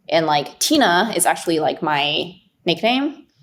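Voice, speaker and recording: A woman speaks with a Chinese accent, her pitch fairly low and marked by vocal fry. Her pace is moderate, with ordinary pitch variation. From China. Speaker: investor. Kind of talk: podcast interview. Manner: halting, many fillers.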